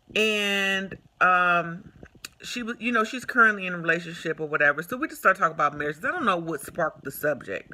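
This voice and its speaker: A woman speaks at a medium pitch in a bright, sharp, animated tone with lively intonation. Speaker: vlogger giving relationship advice. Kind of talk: casual vlog monologue. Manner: loud.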